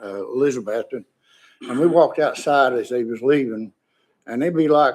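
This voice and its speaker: Speaking in an East Tennessee accent, a man talks at a moderate pace and medium pitch with ordinary pitch variation. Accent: Upper East Tennessee. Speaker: witness testifying on a bill, veteran. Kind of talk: legislative testimony. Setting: committee hearing room.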